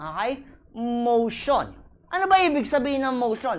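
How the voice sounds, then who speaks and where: Her high-pitched voice has an animated tone and lively intonation. The woman speaks at a fairly slow pace. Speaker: criminology review lecturer. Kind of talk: lecture. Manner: repetitive emphatic.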